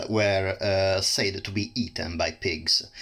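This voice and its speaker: Over noticeable background noise, the speaker talks at a very slow pace with an Italian accent. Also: man. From Italy. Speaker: plant reviewer. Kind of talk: casual educational talk. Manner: halting, many fillers.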